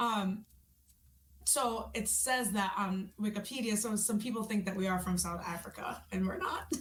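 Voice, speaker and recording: With a slight New York accent, a woman talks at a medium pitch and a moderate pace. Her intonation is fairly even, and there is noticeable background noise. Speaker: rock singer. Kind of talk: interview.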